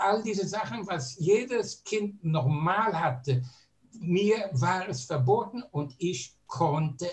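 Lively intonation colors speech delivered at a very slow pace. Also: man. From Germany, Berlin. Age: 80s+. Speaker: Holocaust survivor, eyewitness. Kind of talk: testimony.

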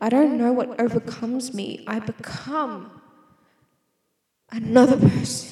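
In an Australian accent, a woman with fairly high pitch talks at a very slow pace. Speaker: solo podcaster. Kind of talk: casual monologue. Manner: rambling, self-interrupting.

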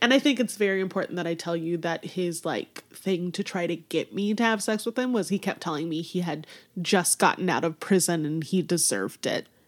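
A woman talks at a fairly quick pace with hardly any pauses. Her pitch variation is ordinary. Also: fairly low pitch for a woman. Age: 30s. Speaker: wedding and boudoir photographer. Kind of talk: casual chat. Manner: animated.

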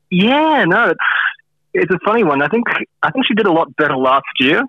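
A man's plain, everyday voice, fairly quick in pace, with lively intonation. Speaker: fantasy football analyst. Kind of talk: interview on fantasy scores. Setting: phone call.

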